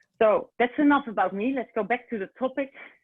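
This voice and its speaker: A woman with a Dutch accent talks with lively intonation. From Netherlands. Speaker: recruitment consultant. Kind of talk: webinar presentation. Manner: halting, many fillers.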